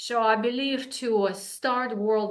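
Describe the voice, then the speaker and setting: A woman speaks with a Russian accent. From Russia, Saint Petersburg. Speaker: wellness coach. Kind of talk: interview.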